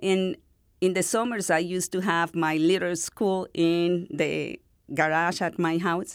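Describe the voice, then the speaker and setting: A woman with a Spanish accent and a fairly low pitch, at a fairly slow pace, on a very clean recording with a silent background. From northern Venezuela. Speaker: university dean, literature scholar. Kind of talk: interview.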